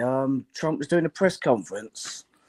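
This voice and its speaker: Lively intonation comes through with a British accent. The sound is dry and close with no echo. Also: man. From London. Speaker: podcast host and radio caller. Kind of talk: phone-in call. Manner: hesitant, many fillers.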